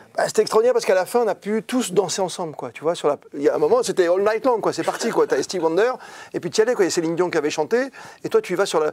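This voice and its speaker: Very fast, high-pitched male speech with an upbeat tone and lively intonation. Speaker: sports journalist. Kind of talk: interview answer. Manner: upbeat, lively.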